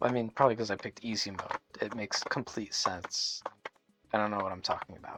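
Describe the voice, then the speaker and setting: Music plays behind a man who speaks very fast, his sound dry and close with no echo. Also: fairly low pitch for a man, fairly even intonation. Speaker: gaming youtuber. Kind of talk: gameplay commentary. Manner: hesitant, many fillers. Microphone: self-described poor microphone.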